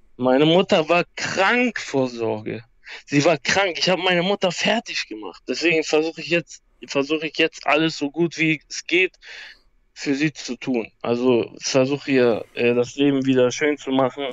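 A man speaks with lively intonation at a fairly high pitch, in a dry, close sound with no echo. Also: moderate pace. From Hamburg, northern Germany. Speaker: MMA fighter. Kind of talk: life story interview. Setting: phone call. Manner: halting.

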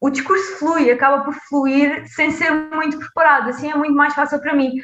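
Her tone is bright and sharp, the pitch high, the intonation fairly even. The woman keeps a moderate pace, and room echo is audible. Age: 20s. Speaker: public health PhD student. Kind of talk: interview.

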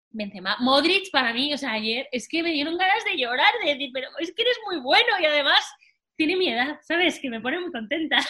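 In a Spanish accent, a woman speaks in a raised, projected voice at a high pitch and fairly quick pace, with a bright, sharp tone and very wide pitch swings. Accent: Peninsular Spanish. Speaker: football podcast co-host. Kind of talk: casual chat.

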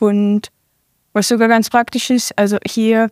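On a very clean recording with a silent background, a woman speaks in a monotone, flat intonation with a dry, close sound with no echo. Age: 20s. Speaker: professional football player. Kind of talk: interview.

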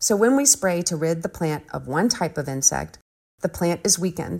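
A woman speaks in an unremarkable speaking voice. Her pitch is fairly low and her pace moderate. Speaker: gardener, social media creator. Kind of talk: prepared recorded monologue.

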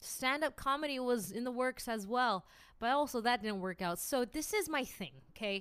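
In a Californian accent, a woman with a high pitch speaks in an animated tone. Her moderate pace comes through on a very clean recording with a silent background. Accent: general American, California. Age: 20s. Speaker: podcast host. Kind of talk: casual solo monologue, podcast intro. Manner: animated, laughs often, stumbles on words; self-deprecating, humorous.

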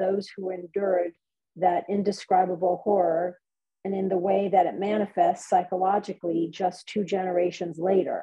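In an unremarkable speaking voice, the speaker talks at a moderate pace with fairly even intonation. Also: woman. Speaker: event moderator. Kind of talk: event moderation. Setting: video call.

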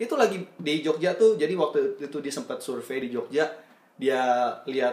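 This man has an ordinary speaking voice with a fairly high pitch. He talks at a moderate pace with lively intonation. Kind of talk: casual chat.

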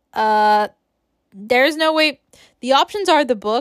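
At a fairly slow pace, a woman talks in a very clean recording with a silent background and a dry, close sound free of echo. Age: 20s. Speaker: podcast host. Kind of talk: casual solo chat. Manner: halting, many restarts and fillers; laughs often.

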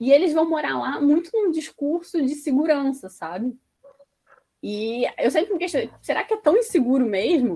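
A woman speaks at a moderate pace in a high voice with a dark, mellow tone. Her pitch swings very widely. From Resende, Rio de Janeiro state, Brazil. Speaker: sociologist, postdoctoral researcher. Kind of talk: interview.

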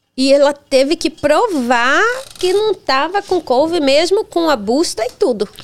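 At a fairly slow pace, a woman speaks with a high pitch and lively intonation. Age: 40s. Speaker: charity founder. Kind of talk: casual chat.

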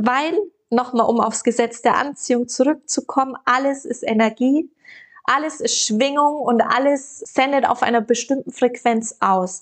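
Her loudness very even, a woman speaks at a fairly slow pace in a high pitch with ordinary pitch variation. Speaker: podcast host, dating and manifestation coach. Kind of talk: motivational solo podcast monologue. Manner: free-flowing, unscripted speech; animated, voice rising in pitch.

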